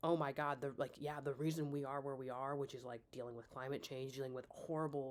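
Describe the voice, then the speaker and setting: Speech comes at a very fast pace with hardly any pauses, in a Midwestern American accent. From US Midwest. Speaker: vlogger. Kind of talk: casual monologue. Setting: talking to laptop at home. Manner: halting, many fillers and restarts. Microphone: laptop mic, poor audio.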